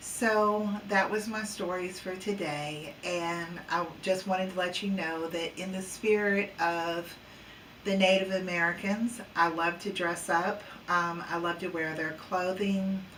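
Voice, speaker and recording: Monotone, flat intonation at a fairly slow pace, with audible room echo and noticeable background noise. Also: woman, medium pitch for a woman. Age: 60s. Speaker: psychic paranormal researcher. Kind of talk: casual vlog monologue. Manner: hesitant, many fillers.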